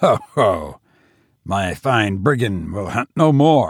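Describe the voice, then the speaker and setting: In a put-on character voice, a booming speaker talks at a very slow pace over a very clean recording with a silent background. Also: man. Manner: wild, roaring, gloating.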